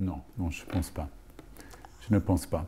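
Somewhat breathy, a man speaks in a dark, mellow tone at a moderate pace. His pitch variation is ordinary. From Rhodesia and South Africa. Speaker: film school teacher. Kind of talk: interview. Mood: calm, reflective. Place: stage.

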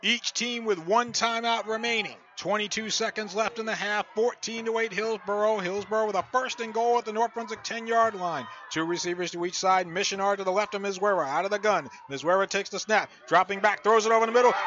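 A man with a high pitch and fairly even intonation speaks at a fairly quick pace, in a dry sound with no echo and light background noise. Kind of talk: live sports commentary. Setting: high school football game broadcast, radio highlights. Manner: clipped, matter-of-fact calls between plays.

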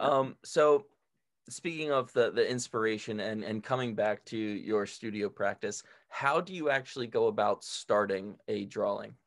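Over a quiet background, a man talks at a moderate pace in a medium-pitched voice. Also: ordinary pitch variation. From outside Canada. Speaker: podcast host. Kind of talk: casual interview. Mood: warm, curious. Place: home room. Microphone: studio mic.

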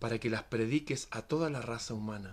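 Quiet but with lively intonation, a man talks in a dramatic tone. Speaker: poet reading aloud. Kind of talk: poetic reading aloud, solemn and dreamlike, in a devotional tone; casual greeting and commentary to viewers. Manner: slow, measured and dramatic, with a rhythmic, hushed, reverent delivery. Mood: calm, solemn. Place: home room. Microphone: phone near.

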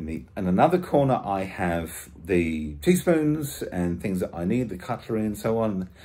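Slowish in pace, a man with a British accent speaks in a dark, mellow tone, his pitch swinging very widely. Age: 50s. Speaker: vlogger. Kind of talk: casual vlog. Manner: halting.

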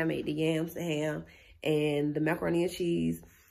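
A woman speaks at a moderate speed, with a quiet background behind her. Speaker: vlogger. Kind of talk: casual vlog chat. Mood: animated, venting disappointment. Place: home room. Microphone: phone near.

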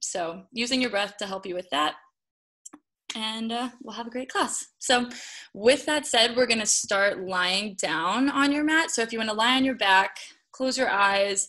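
A woman speaks at a fairly slow pace in a bright, sharp tone against a quiet background. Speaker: yoga instructor. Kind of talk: class instruction. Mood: calm, gentle. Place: home room. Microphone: video call.

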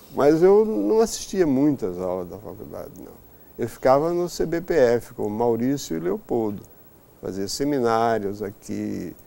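A man talks at a fairly slow pace with very wide pitch swings. His loudness rises and falls sharply. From Brazil, Maceió (Alagoas, Northeast). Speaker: mathematician. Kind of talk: interview. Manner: halting. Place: office.

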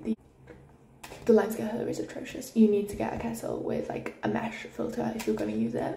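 A woman at a very fast pace, light background noise and audible room echo. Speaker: university student. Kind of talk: casual room tour vlog. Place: home room. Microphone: phone near.

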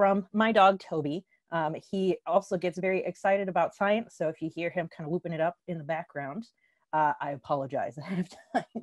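A woman talks with ordinary pitch variation. The sound is dry with no echo, against a quiet background. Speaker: scientist giving outreach lecture. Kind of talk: lecture. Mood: friendly, light-hearted. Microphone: video call.

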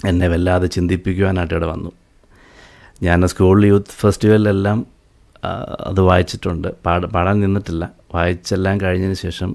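A man's voice sits at a very deep, low pitch with monotone, flat intonation. The background is quiet. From Kerala, Aluva; Kerala. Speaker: church bass guitarist; guest. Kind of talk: testimony. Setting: live video broadcast. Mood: earnest, reflective. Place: studio. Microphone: studio mic.

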